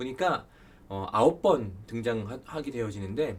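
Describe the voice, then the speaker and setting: Through audible room echo, a man speaks with lively intonation. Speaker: Bible study lecturer. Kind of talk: lecture. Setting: recorded online lecture video.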